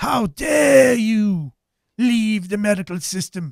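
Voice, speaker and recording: A put-on character voice, fairly high in pitch, moves at a fairly slow pace. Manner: exaggerated, spooky.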